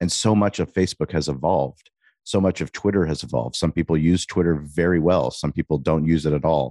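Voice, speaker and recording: With an American accent and vocal fry, a man talks at a fairly quick pace in a very deep, low pitch and a dark, mellow tone with ordinary pitch variation, recorded dry and close with no echo against a quiet background. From US West Coast, San Diego. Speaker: restaurant owner and podcast host. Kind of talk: interview conversation.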